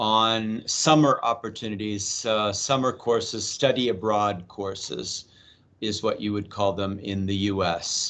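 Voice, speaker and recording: A man with an American accent speaks fairly slowly at a medium pitch with ordinary variation. His tone is bright and sharp, over a quiet background. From US Midwest, Ohio. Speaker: university exchange coordinator. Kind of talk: info session presentation. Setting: video call. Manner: hesitant, with pauses.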